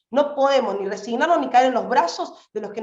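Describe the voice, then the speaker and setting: An animated tone at a fairly quick pace, with lively intonation. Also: woman. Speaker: activist. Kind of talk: political speech. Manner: fast.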